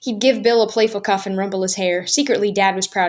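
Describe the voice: Plain reading aloud delivered with fairly even intonation.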